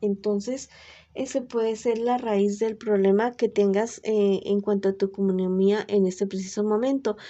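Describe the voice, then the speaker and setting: Soft-spoken and very even in loudness, a woman speaks at a fairly slow pace in a medium pitch with monotone, flat intonation. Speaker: tarot reader. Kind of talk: tarot reading.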